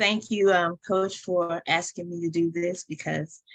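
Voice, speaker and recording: With a dry, close sound and no echo, a woman with a fairly low pitch speaks at a fairly slow pace. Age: 60s. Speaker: participant sharing personal story. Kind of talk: testimony. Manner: halting, many fillers.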